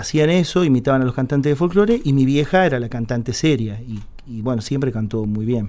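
The man's voice sits at medium pitch with a dark, mellow tone. He moves at a fairly quick pace with ordinary pitch variation. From Córdoba city, Argentina, then Buenos Aires from age 8. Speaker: tango singer. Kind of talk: radio interview, casual chat. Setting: radio studio.

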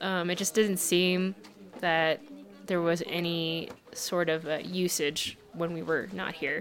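At a medium pitch, a woman talks with an American accent. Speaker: medical student. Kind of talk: casual interview. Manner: hesitant, filler words.

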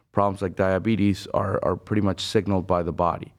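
Against a quiet background, a man with a Spanish accent talks at a fairly quick pace in a fairly low pitch with monotone, flat intonation. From Venezuela. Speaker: bariatric surgeon. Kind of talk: interview.

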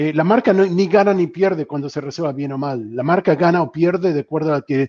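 A man with a fairly high voice and a dark, mellow tone talks at a moderate pace with ordinary pitch variation, in a dry, close sound with no echo. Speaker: customer experience strategist. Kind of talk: panel discussion.

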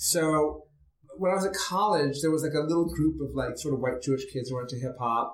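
A man speaks with an American accent at a fairly high pitch. His voice is somewhat breathy and his pace fairly quick. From New York City. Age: 50s. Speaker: theater producer and playwright. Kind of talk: interview.

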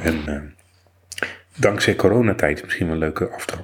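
A soft-spoken man talks at a moderate pace with lively intonation. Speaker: podcast host, blind ICT worker. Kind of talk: casual chat. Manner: normally loud.

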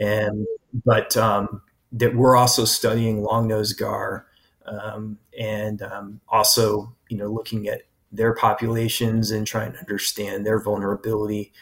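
A man speaks with an American accent in a somewhat breathy, fairly low voice. His delivery is flat and monotone at a fairly slow pace. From US Pacific Northwest, Portland Oregon. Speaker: biology professor. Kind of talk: interview. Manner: halting.

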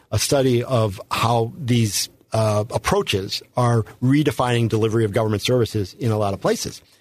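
A man with an American accent speaks at a moderate pace and medium pitch, somewhat breathy, with ordinary pitch variation. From St. Louis, Missouri. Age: 60s. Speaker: political candidate. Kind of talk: interview. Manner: halting, many fillers.

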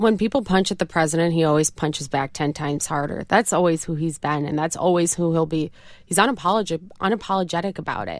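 A woman's fairly low voice with a slight upstate New York accent, very fast and with hardly any pauses, on a very clean recording with a silent background. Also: ordinary pitch variation. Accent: slight upstate New York twang. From upstate New York, Rochester. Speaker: campaign spokesperson. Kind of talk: interview. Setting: studio.

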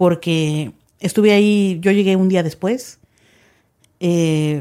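A woman's fairly low, dark, mellow voice, very slow, with fairly even intonation, in a very clean recording with a silent background. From Mexico. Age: 30s. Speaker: journalist. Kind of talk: interview.

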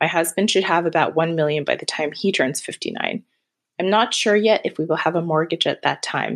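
Speaking at a fairly quick pace, a woman has a fairly low pitch and ordinary pitch variation. She has a plain, everyday voice, and the background is quiet. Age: 30s. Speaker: caller. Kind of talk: recorded voicemail question.

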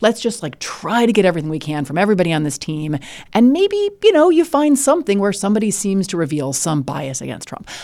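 In a very clean recording with a silent background, a woman with an American accent and a medium pitch speaks at a very fast pace, her pitch swinging very widely and her loudness rising and falling sharply. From US Midwest (Illinois). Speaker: law professor and legal analyst. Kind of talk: conversational interview. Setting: studio.

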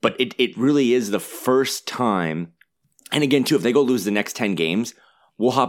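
At a fairly quick pace, a man with an unremarkable speaking voice and medium pitch talks with lively intonation. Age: 30s. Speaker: basketball blog editor. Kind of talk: casual chat.

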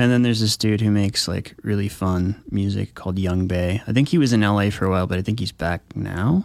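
An ordinary speaking voice from a man, fairly low in pitch with ordinary pitch variation, at a fairly quick pace with hardly any pauses, in a very clean recording with a silent background. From military family, moved around; Flagstaff, Arizona. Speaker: electronic musician. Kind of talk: radio interview.

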